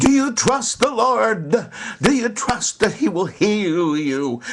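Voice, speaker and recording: Putting on a character voice, a man talks high for a man at a fairly slow pace, with very wide pitch swings over light background noise. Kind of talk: fervent preaching. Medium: solo performance. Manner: fervent, theatrical.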